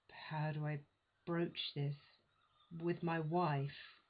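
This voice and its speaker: The speaker is a woman with a somewhat breathy voice. She talks very slowly. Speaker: performer. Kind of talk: verbatim retelling of a real-life story. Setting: home recording. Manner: hesitant, with natural pauses and sighs.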